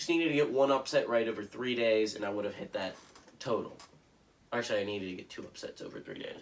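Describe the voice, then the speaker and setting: Amid noticeable background noise, a man speaks at a very fast pace with ordinary pitch variation. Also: medium pitch for a man, big swings in loudness. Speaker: sports commentator. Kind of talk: casual sports picks monologue. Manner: casual, hesitant with fillers.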